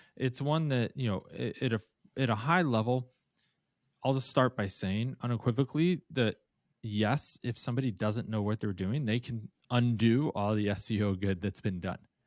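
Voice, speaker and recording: Heard in a very clean recording with a silent background, a man uses a plain, everyday voice at a medium pitch with ordinary pitch variation. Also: moderate pace. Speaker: podcast co-host, conversion optimization agency. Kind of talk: casual podcast conversation.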